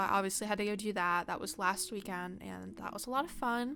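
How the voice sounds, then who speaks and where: Fairly quick speech from a woman at medium pitch, bright and sharp in tone, with fairly even intonation. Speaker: gaming YouTuber. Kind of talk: casual chat. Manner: fast.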